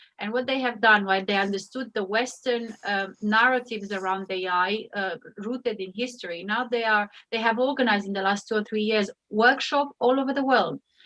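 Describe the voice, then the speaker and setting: A woman with a Romanian accent and a bright, sharp tone, at a fairly quick pace with hardly any pauses and fairly even intonation. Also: fairly high pitch for a woman. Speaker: AI ethics expert. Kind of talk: panel discussion.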